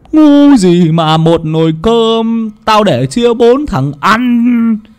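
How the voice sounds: Putting on a character voice, a man speaks slowly at an extremely high pitch, his tone clear, smooth and slightly mellow, with lively intonation.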